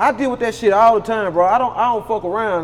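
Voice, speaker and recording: Over noticeable background noise, a man with an American accent speaks fairly quickly at a high pitch. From Louisiana. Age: 30s. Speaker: rapper. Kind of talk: casual chat.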